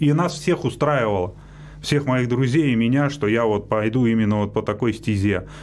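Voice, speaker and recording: Over light background noise, a man speaks at a moderate pace with ordinary pitch variation and very even loudness. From Russia, Moscow region (Likino-Dulyovo); Russia. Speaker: Paralympic cyclist; guest. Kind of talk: radio interview. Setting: radio studio. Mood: calm, reflective. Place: studio. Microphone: studio mic.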